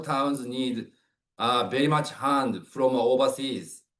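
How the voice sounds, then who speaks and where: A man in a Japanese accent at a fairly high pitch, very slow, with fairly even intonation. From Japan, Kumamoto. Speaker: webinar speaker. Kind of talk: presentation. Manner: halting, many fillers.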